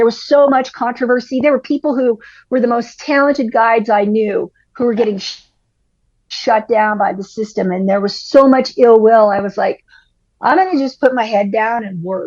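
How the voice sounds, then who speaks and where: With an ordinary speaking voice, a woman talks at a fairly high pitch, using ordinary pitch variation at a moderate pace. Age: 60s. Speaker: climbing guide. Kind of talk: casual chat.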